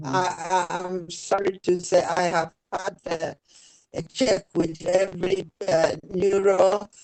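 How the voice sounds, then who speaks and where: The sound is dry and close with no echo as a woman speaks at a very slow pace. Her medium-pitched voice stays monotone, with flat intonation. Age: 80s+. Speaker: older participant. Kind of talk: question to expert. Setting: video call.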